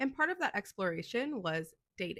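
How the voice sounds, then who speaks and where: A woman's voice swings very widely in pitch. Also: dry, close sound with no echo. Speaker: true crime youtuber. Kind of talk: scripted narration.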